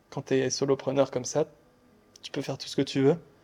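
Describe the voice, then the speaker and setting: The man has a dark, mellow tone set at a fairly high pitch. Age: 20s. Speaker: podcast host. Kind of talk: casual interview.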